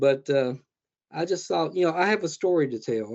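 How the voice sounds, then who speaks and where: This man talks at a fairly slow pace. He has a Southern US accent. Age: 60s. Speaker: horror author. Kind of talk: interview. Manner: halting.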